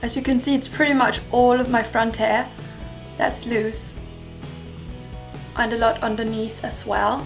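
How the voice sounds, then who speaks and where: A woman's fairly high-pitched voice at a moderate pace, with music in the background. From Denmark. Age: 20s. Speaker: hair vlogger. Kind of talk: casual talk to camera.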